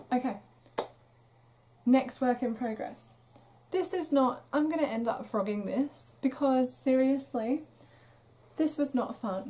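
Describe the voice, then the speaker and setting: A woman with a British accent and a high pitch talks fairly slowly, with ordinary pitch variation and long, frequent pauses. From UK. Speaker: crochet podcaster. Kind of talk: casual chat. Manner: chatty, with fillers.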